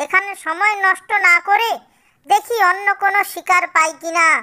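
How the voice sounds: An extremely high-pitched, cartoonish character voice speaks at a fairly slow pace.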